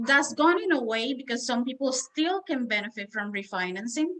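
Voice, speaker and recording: Speaking fairly quickly with a Spanish accent, the voice has a bright, sharp tone and lively intonation. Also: woman. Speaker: mortgage loan officer. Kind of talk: interview.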